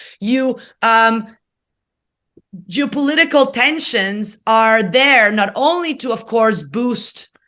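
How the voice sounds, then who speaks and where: Very slow, lively speech from a woman with an Italian accent, her tone bright and sharp, with long, frequent pauses against a quiet background. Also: fairly high pitch for a woman. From Italy. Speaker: economics professor. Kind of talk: interview.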